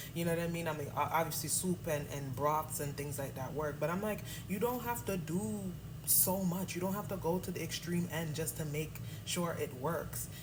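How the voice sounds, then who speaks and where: Against noticeable background noise, a woman with an American accent speaks at a moderate pace in a very deep, low voice with lively intonation. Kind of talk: casual talk to camera.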